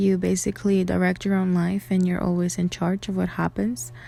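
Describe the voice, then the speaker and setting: With music in the background, a woman talks at a fairly quick pace. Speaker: astrology content creator. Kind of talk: tutorial. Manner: hesitant, many fillers.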